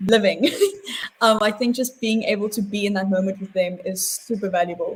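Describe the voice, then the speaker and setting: A woman's somewhat breathy voice at medium pitch and a fairly quick pace. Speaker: psychology student. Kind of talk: webinar panel discussion. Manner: fast.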